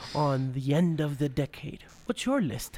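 A man talks fairly slowly, with noticeable noise in the background. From South America. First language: Spanish. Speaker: podcast host. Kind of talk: casual interview; scripted narration. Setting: backstage at concert soundcheck.

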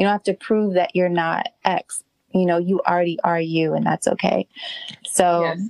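A woman with a normal speaking voice speaks at a moderate pace with fairly low pitch, fairly even intonation and very even loudness. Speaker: podcast host interviewer. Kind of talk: casual interview conversation.

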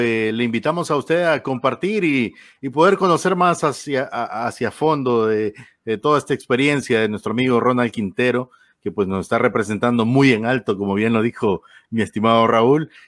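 A man with an unremarkable speaking voice, medium pitch, lively intonation and moderate pace, in a very clean recording with a silent background. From Honduras. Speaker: radio host. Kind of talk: interview.

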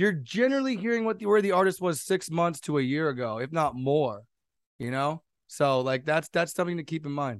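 A man with an American accent, fairly high pitch and very wide pitch swings, at a fairly quick pace against a quiet background. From US West Coast, San Jose, California. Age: 20s. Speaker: DJ and music producer. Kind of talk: casual chat.

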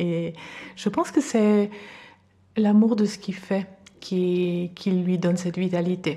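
Her voice is fairly low, dark, mellow and somewhat breathy as the woman speaks at a very slow pace with fairly even intonation. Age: 50s. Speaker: podcast guest. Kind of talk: interview. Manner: halting.

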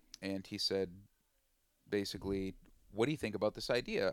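In an Upper Midwest accent, a man speaks at a fairly low pitch. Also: dry, close sound with no echo. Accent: Upper Midwest American. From western Minnesota. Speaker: chef and forager. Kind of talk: interview. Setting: outdoors by the water.

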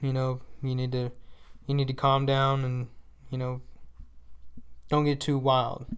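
At a moderate pace, a man speaks in a monotone, flat intonation with a Texan accent. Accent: Texas country. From Northeast Texas (Paris area). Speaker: monster truck driver. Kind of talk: casual interview.

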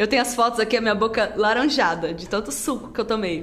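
Noticeable background noise and audible room echo surround the woman's voice. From Rondônia, Brazil (born in Rio Grande do Sul, moved at 7). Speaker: social media influencer and dance instructor. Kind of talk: casual chat.

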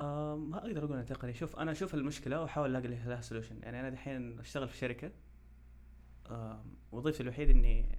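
A man is speaking. His pace is fairly quick. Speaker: petroleum engineering student and startup founder. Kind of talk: casual interview.

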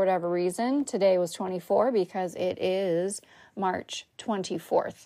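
Against a silent background in a very clean recording, a woman speaks at a medium pitch in an animated tone with ordinary pitch variation. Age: 40s. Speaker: podcast host. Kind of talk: casual solo monologue.

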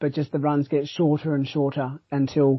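An Australian accent comes through. The speaker is a man. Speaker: trail running podcast host. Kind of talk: casual chat.

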